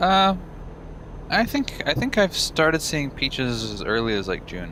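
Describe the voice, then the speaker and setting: Amid noticeable background noise, a man with a fairly high pitch speaks fairly slowly, his pitch swinging very widely. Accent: slight Texan. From Texas. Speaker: gamer. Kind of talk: casual chat. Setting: live stream.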